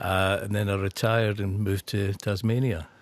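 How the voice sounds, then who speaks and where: Recorded very cleanly against a silent background, a man speaks with a fairly low pitch. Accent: Scottish. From northeast Scotland. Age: 60s. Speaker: actor. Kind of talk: radio interview. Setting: radio studio.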